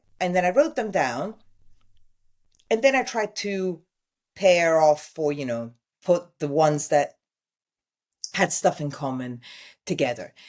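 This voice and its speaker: A woman with a fairly low pitch speaks at a fairly slow pace, her voice making very wide pitch swings with long, frequent pauses. The recording is very clean, with a silent background. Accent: Italian. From Italy. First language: Italian. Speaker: TV news presenter and journalist. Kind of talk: interview answer.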